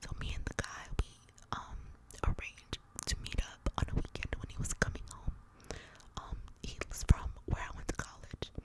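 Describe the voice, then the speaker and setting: A woman's whispering, broken by long, frequent pauses, over noticeable background noise. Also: moderate pace, big swings in loudness. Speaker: ASMR content creator. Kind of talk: ASMR whispered storytelling. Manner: whispered, soft.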